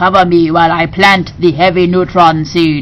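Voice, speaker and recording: Using a put-on character voice, a woman delivers her lines at a fairly low pitch and moderate pace with monotone, flat intonation over clear background noise. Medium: read story. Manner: menacing, leering.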